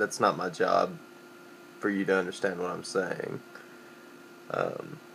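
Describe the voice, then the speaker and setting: With a Southern Appalachian accent, a man speaks at a fairly slow pace, leaving long, frequent pauses. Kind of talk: casual dialect survey word list and answers. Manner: casual, hesitant.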